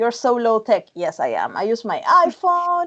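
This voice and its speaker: With a Spanish accent, a woman speaks at a moderate pace and a fairly high pitch. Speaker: tech YouTuber and podcaster. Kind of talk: video call interview. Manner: halting with frequent repetitions.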